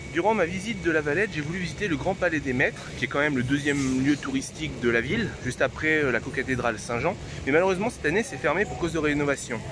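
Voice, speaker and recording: Talking very fast with lively intonation, a man with a fairly high pitch is heard over noticeable background noise. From France, Normandy. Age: 20s. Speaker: travel vlogger. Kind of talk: travel vlog narration.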